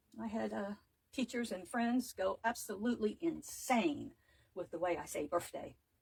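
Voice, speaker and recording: A woman's fairly high voice with vocal fry and lively intonation. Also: moderate pace. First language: not English. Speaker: wreath maker, craft tutor. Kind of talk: live craft tutorial. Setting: livestream, home craft table.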